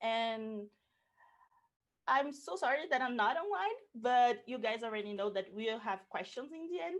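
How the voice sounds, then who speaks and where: A woman with a Portuguese accent, fairly high pitch, lively intonation and a fairly slow pace. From Brazil. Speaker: cultural producer. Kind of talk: pre-recorded presentation.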